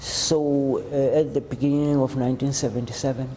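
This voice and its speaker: Here a man speaks at a fairly high pitch with fairly even intonation. Background noise is noticeable. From South Africa, Cape Town. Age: 60s. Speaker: homeless shelter client. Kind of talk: interview testimony. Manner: halting.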